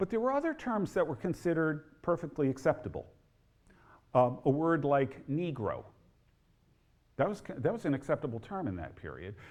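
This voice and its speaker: With an American accent and a fairly high pitch, a man speaks at a moderate pace, his voice swinging very widely in pitch between long, frequent pauses. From New Jersey, near Newark. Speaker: historian and author. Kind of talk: lecture.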